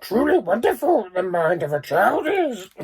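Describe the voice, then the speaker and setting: A put-on character voice, fairly high in pitch, swings very widely up and down at a moderate pace. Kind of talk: inverted, archaic word order. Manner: wise, slow, croaky.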